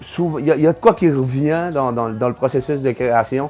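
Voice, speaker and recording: With music in the background, a man with a North Shore Quebec accent talks at a moderate pace and medium pitch, using ordinary pitch variation. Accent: Quebec French, North Shore (Cayen). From Havre-Saint-Pierre, Côte-Nord, Quebec. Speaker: singer-songwriter. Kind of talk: interview answer. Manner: hesitant, casual.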